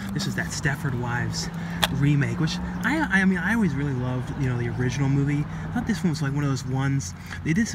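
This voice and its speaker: Dry with no echo, a man talks very fast over noticeable background noise. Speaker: collector vlogger. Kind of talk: casual vlog chat. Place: street. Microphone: phone near.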